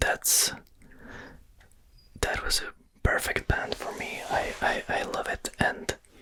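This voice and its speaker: A man whispers at a very slow pace in a Slovak accent. Noticeable background noise is present. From Slovakia. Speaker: ASMR creator. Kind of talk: interview answer. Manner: whispered.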